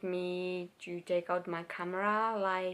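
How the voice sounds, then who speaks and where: A woman with a Finnish accent talks at a medium pitch, her intonation fairly even. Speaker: vlogger. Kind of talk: personal vlog. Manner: halting.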